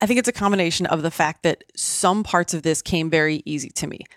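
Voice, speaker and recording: A woman speaks at a fairly quick pace with ordinary pitch variation and an unremarkable speaking voice. The very clean recording has a silent background and a dry, close sound with no echo. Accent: American. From US Midwest, small town. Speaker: physician and podcaster. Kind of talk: interview conversation.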